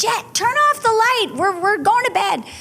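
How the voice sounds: A woman's put-on character voice, extremely high-pitched, with lively intonation, a moderate pace, very even loudness and light background noise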